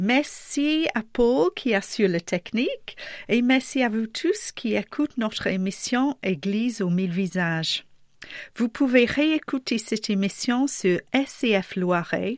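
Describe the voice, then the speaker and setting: A woman speaks very slowly with a fairly high pitch and a non-native accent. Her intonation is lively, and the recording is very clean with a silent background. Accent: foreign accent in French. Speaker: radio host. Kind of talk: radio interview.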